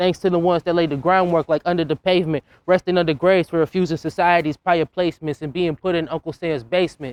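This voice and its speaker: This speaker talks at a very fast pace with an American accent, hardly any pauses and fairly even intonation. The sound is dry and close with no echo against a quiet background. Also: man, high pitch for a man. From Boston, Dorchester. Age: young. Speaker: slam poet. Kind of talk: spoken word poetry performance.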